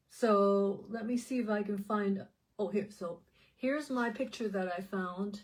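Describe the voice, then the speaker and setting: A somewhat breathy woman's voice at medium pitch, fairly slow in pace, with fairly even intonation. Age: 60s. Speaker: health supplement promoter and vlogger. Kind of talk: casual vlog monologue. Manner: halting, with many fillers and repeats.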